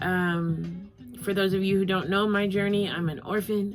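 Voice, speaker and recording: A woman with a medium pitch delivers her words at a moderate pace in a monotone, flat way, with noticeable background noise around her. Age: 40s. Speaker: vlogger and actor. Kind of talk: casual vlog talk to camera. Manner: halting with frequent fillers.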